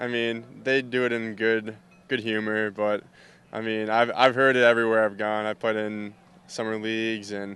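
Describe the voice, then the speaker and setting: A man's medium-pitched voice with a Minnesotan accent, at a moderate pace. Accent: Minnesota. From Minnesota, US. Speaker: baseball player. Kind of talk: interview.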